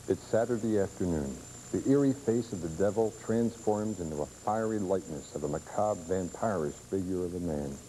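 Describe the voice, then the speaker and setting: A plain, everyday voice from a man, fairly low-pitched, with lively intonation and a fairly quick pace. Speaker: TV writer, producer and director. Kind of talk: documentary tribute narration.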